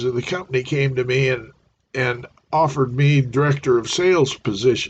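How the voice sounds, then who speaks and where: A man talks at a fairly high pitch with a somewhat breathy voice. His pace is moderate. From US Midwest (Norfolk, Nebraska). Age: 70s. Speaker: retired salesman and business owner. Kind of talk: livestream monologue. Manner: halting, many fillers.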